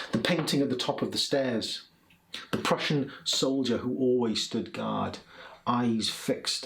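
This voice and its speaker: Through audible room echo and noticeable background noise, a man with a South Welsh accent speaks at a fairly slow pace, with a medium pitch and ordinary pitch variation. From South Wales (Port Talbot, Swansea). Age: 40s. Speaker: poet. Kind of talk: poetry reading; casual introduction between poems. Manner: hesitant, many fillers and repeats.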